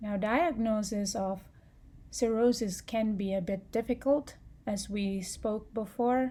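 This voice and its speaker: At a fairly slow pace, a woman with a non-native accent speaks in a somewhat breathy voice with a dark, mellow tone and ordinary pitch variation. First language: not English. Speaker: public health student. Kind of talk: student class presentation.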